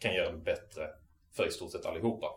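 Room echo is audible in this clip. The speaker is a man. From southern Sweden, Malmö area. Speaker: activist lecturer. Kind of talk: lecture. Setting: local venue with live audience. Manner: halting.

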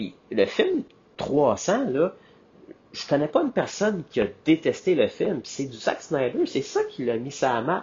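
A man with a Quebec accent, at a fairly slow pace. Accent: Québécois French. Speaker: podcast host. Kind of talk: casual solo monologue. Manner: animated.

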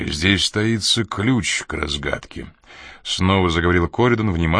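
Someone reads in an unforced reading voice, the pitch moving by an ordinary amount.

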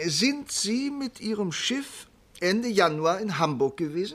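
A man's put-on character voice, high-pitched with a fairly bright tone, lively intonation and a fairly slow pace.

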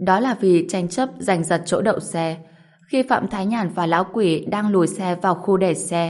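The passage is read aloud in a natural voice, and the pitch varies in an ordinary way.

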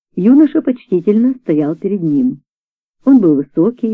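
Against a quiet background, a natural reading voice carries lively intonation.

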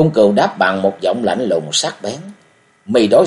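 The voice is an unforced reading voice. It holds that way from start to finish.

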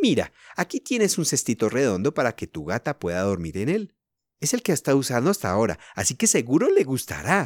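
A quiet background behind someone reading aloud in a natural voice.

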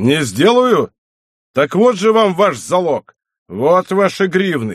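In a put-on character voice, a man speaks slowly at a high pitch with big pitch swings and a slightly husky edge, in a dry, close sound with no echo and a very clean recording with a silent background.

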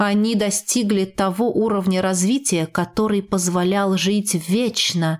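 Fairly even intonation in a natural reading voice

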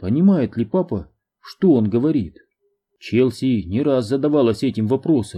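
The intonation is lively in this unforced reading voice. Behind it, the background stays quiet.

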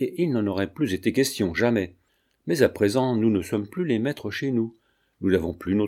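An unforced reading voice over a quiet background

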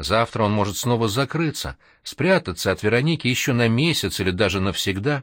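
Lively intonation in an unforced reading voice

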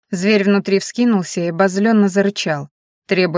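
Against a quiet background, the speaker does plain reading aloud with fairly even intonation.

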